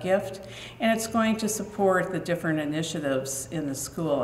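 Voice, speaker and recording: A woman is speaking. Her voice carries audible room echo over light background noise. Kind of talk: formal speech to audience. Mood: warm, proud. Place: hall. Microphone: podium.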